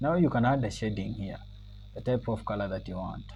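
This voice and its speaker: Audible room echo follows a man as he talks. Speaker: computer skills instructor. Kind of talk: tutorial. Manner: loud and clear; halting, with many fillers.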